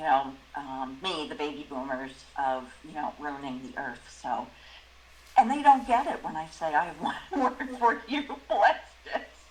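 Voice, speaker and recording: A woman speaks with a very deep, low pitch and very wide pitch swings. Her loudness varies a lot, and background noise is noticeable. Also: fairly slow pace. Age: 60s. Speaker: discussion group member. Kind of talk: group discussion.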